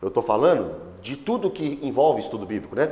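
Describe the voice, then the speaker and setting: A man talks at a moderate pace in an animated tone. His pitch swings very widely. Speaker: pastor. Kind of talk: Bible study teaching.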